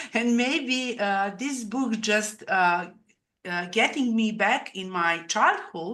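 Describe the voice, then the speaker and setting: A woman speaks at a very slow pace with a fairly high pitch and ordinary pitch variation. Audible room echo surrounds her voice. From Serbia. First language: Serbian. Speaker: author. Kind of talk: interview. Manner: halting.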